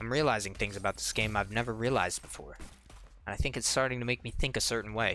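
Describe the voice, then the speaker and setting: A man rattles along at a very fast pace with a bright, sharp tone, vocal fry, medium pitch and fairly even intonation. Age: 20s. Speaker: gaming YouTuber. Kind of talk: let's play commentary. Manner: casual, rambling.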